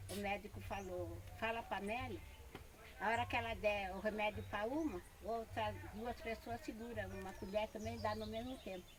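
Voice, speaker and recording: Background noise is noticeable in this clip. The woman speaking keeps a moderate pace. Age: 70s. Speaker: quilombo elder and author. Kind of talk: oral history interview.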